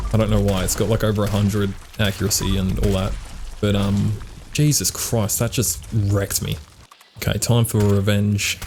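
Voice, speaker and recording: A man speaks at a moderate pace with a fairly low pitch, fairly even intonation and very even loudness. Noticeable background noise runs behind him. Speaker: gaming YouTuber. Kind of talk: gameplay commentary.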